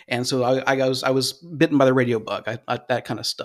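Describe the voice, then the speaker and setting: A man with an American accent speaks at a fairly quick pace in a plain, everyday voice at a medium pitch, captured in a very clean recording with a silent background. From Cleveland, Ohio. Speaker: radio host. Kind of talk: casual chat.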